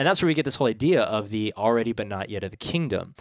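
A man with a West Coast accent talks at a fairly quick pace in a medium-pitched voice. The recording is very clean, with a silent background and a dry, close sound with no echo. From San Francisco. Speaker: pastor. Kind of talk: casual chat.

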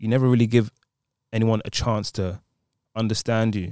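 Recorded very cleanly against a silent background, a man with a London accent speaks at a fairly quick pace and a fairly low pitch, the sound dry and close with no echo. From London, England. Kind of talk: casual chat.

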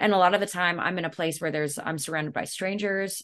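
A woman at a fairly quick pace, fairly low in pitch, with ordinary pitch variation and a quiet background. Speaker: metal band vocalist. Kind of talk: interview.

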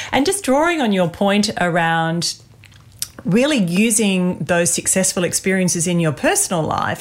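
Over noticeable background noise, a woman speaks with an Australian accent. Her pitch is medium, her pace fairly slow, and her intonation lively. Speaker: podcast host and executive coach. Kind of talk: interview-style podcast chat.

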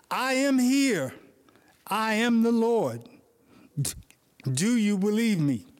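A booming, put-on character voice, fairly high in pitch, at a very slow pace with long, frequent pauses. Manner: majestic, booming.

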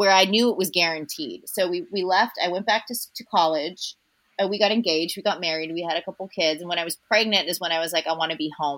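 This woman speaks at a very fast pace. Her pitch is fairly low, with ordinary variation. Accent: Californian. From Southern California, North Orange County. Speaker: actress. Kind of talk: casual chat. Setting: remote call from home.

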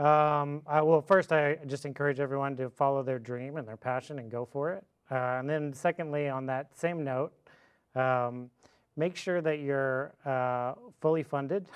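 A man with an American accent talks at a moderate pace and a fairly high pitch, using an ordinary speaking voice with fairly even intonation. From Fort Worth, Texas. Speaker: distillery owner, former attorney. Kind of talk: casual interview.

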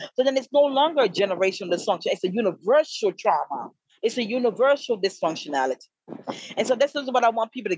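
The voice races at a very fast pace with very wide pitch swings, in a dry, close sound with no echo. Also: woman. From Jamaica, Kingston. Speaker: author. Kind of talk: interview.

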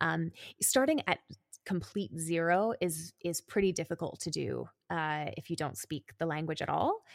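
A woman's normal speaking voice, fairly low in pitch, with lively intonation, a moderate pace and a Canadian accent, on a very clean recording with a silent background. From Calgary, Canada. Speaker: podcast co-host and brand lead. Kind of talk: casual interview chat.

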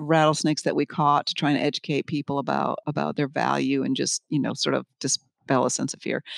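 Recorded very cleanly against a silent background, a woman with an American accent sounds dry and close with no echo. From US Northeast, Connecticut. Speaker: research scientist, herpetologist. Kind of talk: interview conversation. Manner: hesitant, many fillers.

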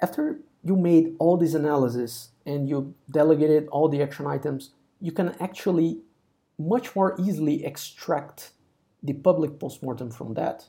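A man with a fairly high, somewhat breathy voice and a dark, mellow tone speaks at a moderate pace with ordinary pitch variation. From Brazil. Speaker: site reliability engineer. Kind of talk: technical interview.

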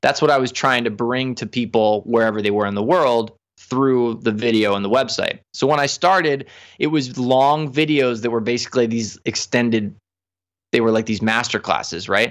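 In a very clean recording with a silent background, a man speaks at a medium pitch. He keeps a moderate pace with ordinary pitch variation. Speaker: professional saxophonist and music teacher. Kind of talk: interview. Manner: animated.

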